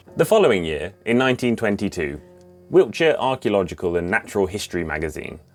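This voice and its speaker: In an English accent, a man speaks very fast with very wide pitch swings while music plays in the background. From England. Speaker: history video presenter. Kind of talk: documentary narration with casual chat.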